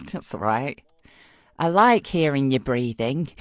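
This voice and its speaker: The speaker talks very slowly with a British accent. The recording is very clean, with a silent background. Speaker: voice actor. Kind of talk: casual chat. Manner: animated.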